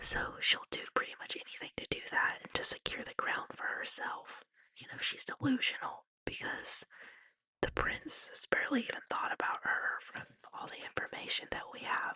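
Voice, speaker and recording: Whispering at a moderate pace, the voice swings widely in loudness. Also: woman. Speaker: ASMR artist. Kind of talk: book recap. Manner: whispered.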